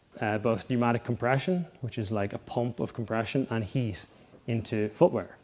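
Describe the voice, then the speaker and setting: This man has an Irish accent and a medium pitch. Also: ordinary pitch variation, moderate pace. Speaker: sports scientist. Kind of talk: conference talk. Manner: casual, many filler ums.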